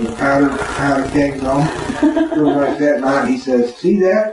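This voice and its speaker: Lively intonation in an American accent, amid noticeable background noise and audible room echo. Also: man. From Florida. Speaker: war veteran. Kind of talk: interview answer. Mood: emotional, reliving fear. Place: home room. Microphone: camera far.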